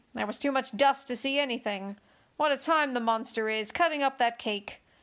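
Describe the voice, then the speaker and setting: A woman performs a put-on character voice at a high pitch and a moderate pace. The recording is very clean, with a silent background. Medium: read story. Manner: weary, yawning.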